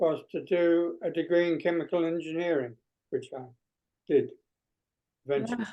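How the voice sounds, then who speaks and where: This man speaks with a British accent in a high voice. His pace is moderate. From Guernsey, Channel Islands. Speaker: emeritus professor of strategic management. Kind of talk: interview.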